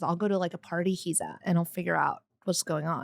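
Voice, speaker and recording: A woman with an American accent speaks in an animated tone at a medium pitch, the sound dry and close with no echo. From New York. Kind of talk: casual chat.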